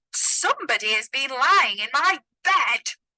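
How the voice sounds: A woman puts on a gruff character voice at an extremely high pitch, speaking at a moderate pace.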